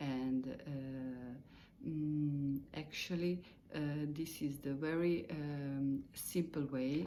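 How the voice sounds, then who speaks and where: A woman speaks with a non-native accent in a very deep, low voice. Her intonation stays fairly even, and room echo is audible. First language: Italian or Croatian. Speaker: meditation teacher. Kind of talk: spoken lesson. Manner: halting, many fillers; simple, slow wording.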